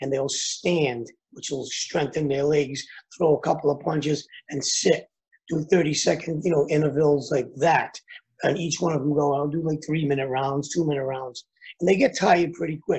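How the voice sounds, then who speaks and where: A man's fairly even intonation and moderate pace come through against a quiet background. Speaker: boxing coach, remote interview guest. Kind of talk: interview answer. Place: home room. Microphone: video call.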